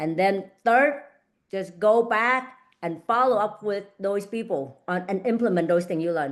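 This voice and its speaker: The woman talks at a moderate pace in a medium pitch. Her pitch varies in an ordinary way against a quiet background. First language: not English. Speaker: real estate agent and coach. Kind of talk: online group coaching session. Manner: halting, repeats words.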